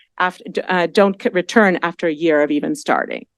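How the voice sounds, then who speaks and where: A woman speaks at a medium pitch and a fairly quick pace, her intonation lively. The sound is dry and close with no echo, over a quiet background. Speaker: education professor. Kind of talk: panel presentation. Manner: fast; hesitant, many fillers.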